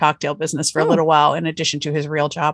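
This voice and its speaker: With an American accent, a woman speaks in a very deep, low voice. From US Northeast, Pennsylvania. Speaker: author. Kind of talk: interview.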